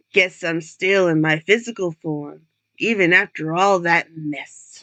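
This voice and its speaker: A put-on character voice, delivered at a fairly slow pace with a dry, close sound and no echo. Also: woman, fairly low pitch for a woman, fairly even intonation. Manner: mumbling.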